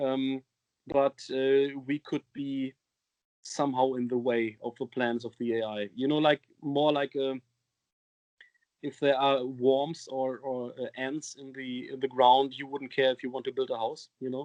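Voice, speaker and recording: Speaking at a fairly slow pace with a German accent, a man holds a medium pitch in a monotone, flat intonation. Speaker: metal band singer. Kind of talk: interview. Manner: halting, many fillers.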